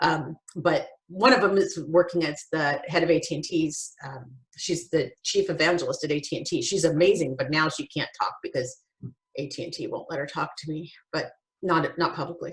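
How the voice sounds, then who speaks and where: Her voice somewhat breathy and fairly low for a woman, she speaks with ordinary pitch variation. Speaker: podcast host. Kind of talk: casual chat. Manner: fast; animated.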